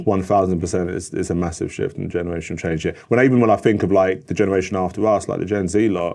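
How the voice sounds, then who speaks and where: A man with a London accent speaks very fast with hardly any pauses, his very deep, low pitch and dark, mellow tone held in fairly even intonation. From North London. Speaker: adtech professional, father. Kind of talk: podcast interview answer. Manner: casual, conversational.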